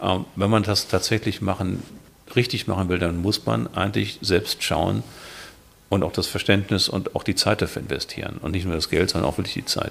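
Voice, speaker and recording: Very deep, low-pitched man with vocal fry, a moderate pace and ordinary pitch variation. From Hamburg, northern Germany. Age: 50s. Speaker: classic car collector. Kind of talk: casual chat.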